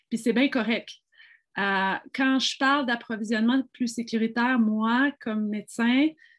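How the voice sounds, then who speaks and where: Against a quiet background with a dry, close sound and no echo, a woman with a fairly high pitch and an ordinary speaking voice talks at a fairly slow pace with fairly even intonation. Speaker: physician. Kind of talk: panel discussion.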